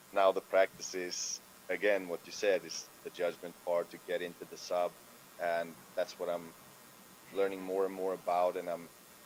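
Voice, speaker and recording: Here a man speaks with a non-native accent. His pace is moderate. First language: not English. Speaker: freestyle rapper. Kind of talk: casual chat. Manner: halting.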